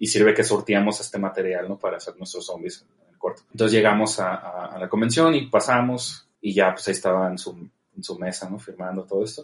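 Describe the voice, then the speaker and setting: Loudness swings a lot as a man talks at a fairly quick pace. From Mexico, Tijuana. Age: 30s. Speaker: film director. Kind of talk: interview.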